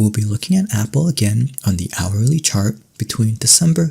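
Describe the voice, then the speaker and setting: Soft-spoken and somewhat breathy, a man talks at a moderate pace in a calm, dark, mellow tone with lively intonation. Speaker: ASMR creator. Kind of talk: ASMR educational lesson, soft-spoken roleplay as a professor. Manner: soft-spoken, calm.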